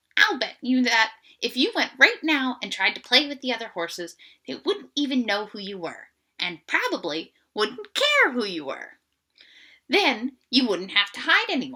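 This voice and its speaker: In a put-on character voice, a woman sounds croaky at a high pitch with very wide pitch swings. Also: moderate pace. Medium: read story. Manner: casual, plain-spoken.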